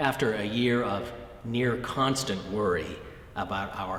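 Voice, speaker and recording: A man with an American accent, medium pitch and ordinary pitch variation, at a fairly slow pace over noticeable background noise. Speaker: Episcopal bishop. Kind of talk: Easter sermon message.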